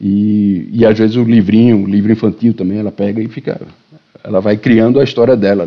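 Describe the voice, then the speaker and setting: Intonation stays fairly even as the speaker moves at a fairly quick pace. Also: man, fairly low pitch for a man. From Brazil, Recife. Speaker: writer and editor. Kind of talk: casual chat. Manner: halting.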